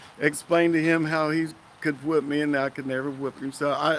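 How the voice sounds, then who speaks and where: A man speaks with a fairly high pitch and a bright, sharp tone. His delivery is a flat monotone at a moderate pace. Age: 60s. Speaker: interviewee recounting police arrest. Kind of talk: testimony.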